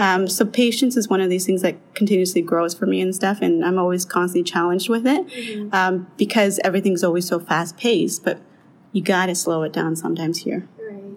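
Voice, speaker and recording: This woman has a medium pitch. Her pitch varies in an ordinary way. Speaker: long-term care recreation and volunteer manager. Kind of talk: interview. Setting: studio-like sit-down at the care home. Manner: fast.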